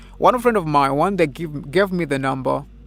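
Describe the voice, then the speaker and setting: Fairly slow speech from a man, with music in the background. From Africa. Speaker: spiritual vlogger. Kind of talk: personal storytelling monologue.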